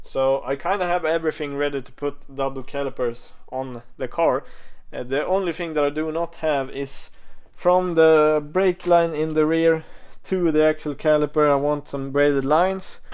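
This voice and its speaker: A man uses an ordinary speaking voice, talking at a moderate speed, pitched fairly high, with fairly even intonation. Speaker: car enthusiast video creator. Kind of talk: casual vlog talk. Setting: workshop.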